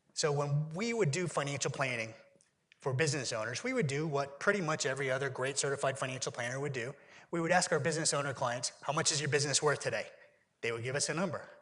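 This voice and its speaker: Audible room echo surrounds a man with an American accent. He talks very fast at a fairly high pitch, with ordinary pitch variation. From Pennsylvania, US. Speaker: keynote speaker, exit planning consultant. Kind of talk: conference keynote presentation.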